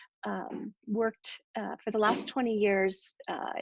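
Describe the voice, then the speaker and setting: A woman talks with an ordinary speaking voice at a medium pitch. Her pace is fairly slow and her intonation fairly even. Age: 60s. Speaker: entrepreneur and discussion leader. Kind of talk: group discussion introduction.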